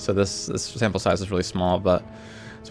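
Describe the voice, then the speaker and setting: A man talks with a fairly low pitch. Music plays in the background. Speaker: gamer, League of Legends support player. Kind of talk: casual gaming tips talk. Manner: casual, hesitant, many fillers.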